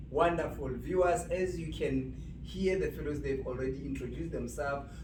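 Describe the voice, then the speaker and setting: A man is talking in a room with audible echo. Noticeable background noise is present. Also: moderate pace. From South Africa. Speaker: panel moderator. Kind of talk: panel discussion. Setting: university event, live.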